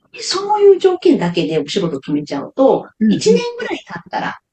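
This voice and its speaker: A woman talks at a fairly quick pace. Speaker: nonprofit director. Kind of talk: interview. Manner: relaxed conversational, many fillers.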